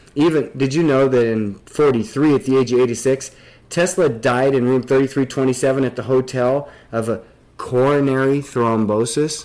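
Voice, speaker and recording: A man speaks with an American accent at a medium pitch. He has an unremarkable speaking voice with fairly even intonation. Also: moderate pace. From Nebraska. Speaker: podcast host. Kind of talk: casual discussion.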